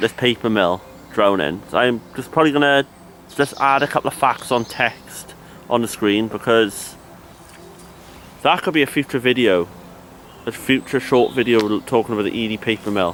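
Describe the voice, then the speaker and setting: Long, frequent pauses from a man with a Cardiff accent and ordinary pitch variation. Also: medium pitch for a man, moderate pace. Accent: Welsh (Cardiff). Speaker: history explorer vlogger. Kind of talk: walking vlog narration. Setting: outdoors in graveyard, then inside cathedral.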